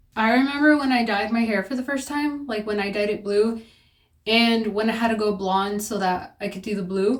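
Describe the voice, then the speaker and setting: This is a woman with a normal speaking voice. Her pitch moves in an ordinary way and her pace is moderate. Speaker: beauty vlogger. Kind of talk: casual chat.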